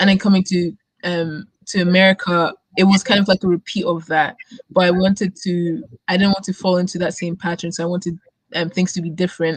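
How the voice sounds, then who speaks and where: This woman talks at a fairly quick pace in a medium pitch, somewhat breathy, with a dry, close sound and no echo. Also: fairly even intonation. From Germany and Scotland, born in Nigeria. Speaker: student community co-founder. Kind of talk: interview. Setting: live stream.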